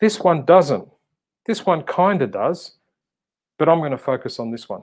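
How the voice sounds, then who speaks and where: A man speaks with an Australian accent. His pitch is high. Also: lively intonation, moderate pace. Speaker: motivational speaker and coach. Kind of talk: casual interview chat. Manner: animated.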